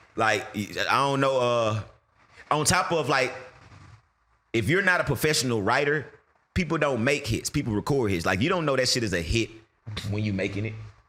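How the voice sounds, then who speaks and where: Bright and sharp in tone, a man speaks at medium pitch and a moderate pace with lively intonation and long, frequent pauses. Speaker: rapper. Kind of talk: casual chat. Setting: studio.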